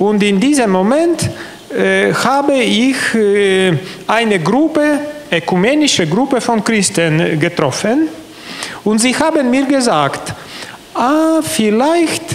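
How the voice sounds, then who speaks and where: A man at extremely high pitch with very wide pitch swings, a very slow pace, long, frequent pauses and very even loudness. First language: not German (speaking German). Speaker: convert giving testimony; bishop giving testimony. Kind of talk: interview testimony. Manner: halting, many hesitations. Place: hall. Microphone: handheld.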